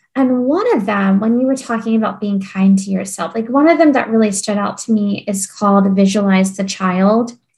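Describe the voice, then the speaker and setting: A woman at medium pitch and moderate pace with hardly any pauses, music in the background. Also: ordinary pitch variation. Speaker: podcast host. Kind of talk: interview conversation.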